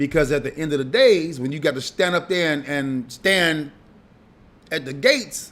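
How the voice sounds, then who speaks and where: At a moderate pace, a man with an American accent speaks in a fairly high voice with ordinary pitch variation. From Chicago. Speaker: radio host. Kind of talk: casual monologue. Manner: animated.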